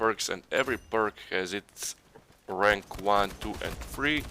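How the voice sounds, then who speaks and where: At a fairly slow pace, a man talks in a fairly low pitch with a bright, sharp tone. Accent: non-native. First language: not English. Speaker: gaming YouTuber. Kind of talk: gameplay commentary. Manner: halting.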